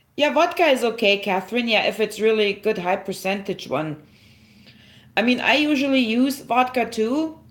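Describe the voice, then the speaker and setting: A woman with a German accent, fairly high-pitched, speaking fairly slowly with very wide pitch swings. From Germany. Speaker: herbalist livestreamer. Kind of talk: live stream tutorial with chat. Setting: livestream. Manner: casual, halting with fillers.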